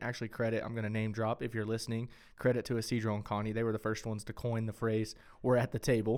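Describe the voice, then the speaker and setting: With a West Texas accent, a man speaks at a very fast pace and a medium pitch. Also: very clean recording, silent background. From West Texas (Friona). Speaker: podcast co-host, church worker. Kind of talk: casual chat.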